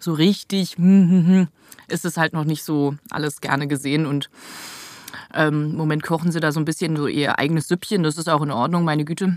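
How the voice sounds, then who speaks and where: At a fairly quick pace, a woman speaks with a fairly low pitch, fairly even intonation and an unremarkable speaking voice. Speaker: voice actress. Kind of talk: casual chat. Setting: studio.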